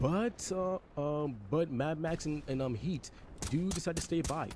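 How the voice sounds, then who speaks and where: A man's fairly high voice at a fairly slow pace, over noticeable background noise. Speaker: esports caster. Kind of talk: live commentary. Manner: halting.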